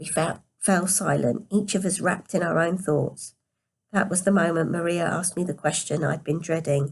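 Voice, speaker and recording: The voice is quiet and somewhat breathy, at a moderate pace. Its pitch varies in an ordinary way. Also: woman. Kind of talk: read story.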